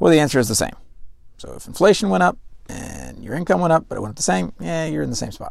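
A man talks very fast with big jumps in loudness and very wide pitch swings, over noticeable background noise. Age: 30s. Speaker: financial advisor and podcast host. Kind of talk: solo podcast commentary.

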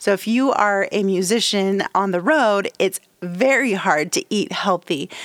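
A woman speaks in a plain, everyday voice at a medium pitch with lively intonation, recorded very cleanly against a silent background. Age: 50s. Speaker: music business podcast host. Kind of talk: solo podcast tutorial.

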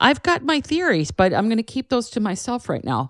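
In a dry, close recording with no echo, a woman's pitch swings very widely. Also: very clean recording, silent background. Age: 50s. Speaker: canine herbalist podcast host. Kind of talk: solo educational monologue. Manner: casual, chatty.

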